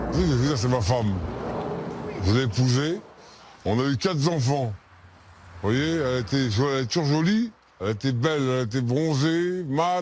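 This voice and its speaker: A man's medium-pitched voice at a fairly slow pace, with lively intonation, very even loudness, long and frequent pauses, and noticeable background noise. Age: 60s. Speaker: Roma traveller interviewed in documentary. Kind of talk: documentary interview.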